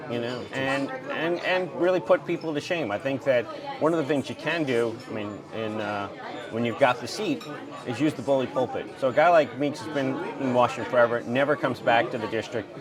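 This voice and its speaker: A man speaking at a fairly quick pace, with music in the background and audible room echo. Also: medium pitch for a man, ordinary pitch variation. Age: 60s. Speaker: congressional candidate. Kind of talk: casual political interview. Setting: diner.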